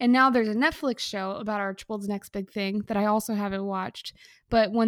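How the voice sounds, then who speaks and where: A woman's plain, everyday voice, fairly high and fairly even, at a fairly quick pace, dry and close with no echo, in a very clean recording with a silent background. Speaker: podcast co-host. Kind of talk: casual comedic banter. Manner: joking, playful.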